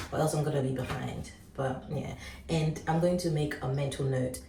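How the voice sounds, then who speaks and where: A woman's very deep, low voice amid audible room echo and noticeable background noise. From Ghana. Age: 20s. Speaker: vlogger. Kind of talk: casual vlog chat. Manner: animated.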